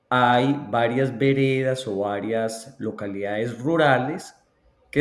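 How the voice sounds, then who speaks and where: This man speaks at a very slow pace. His medium pitch shows ordinary variation. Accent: Colombian. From Colombia, Antioquia (La Ceja). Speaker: education researcher. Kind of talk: interview.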